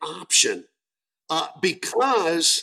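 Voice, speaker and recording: A man with an animated tone and lively intonation. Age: 60s. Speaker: entrepreneur. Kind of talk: interview.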